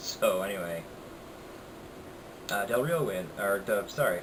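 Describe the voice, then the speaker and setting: A man speaks quietly at a moderate pace in a fairly low voice, with noticeable background noise behind him. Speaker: wrestling reviewer. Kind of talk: casual talk to camera. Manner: quiet, low volume.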